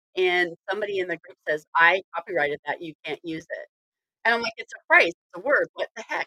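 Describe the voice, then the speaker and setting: With an American accent, a woman talks at a moderate pace in a bright, sharp tone with lively intonation, the sound dry and close with no echo. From northern US. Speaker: podcast host. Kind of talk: casual chat.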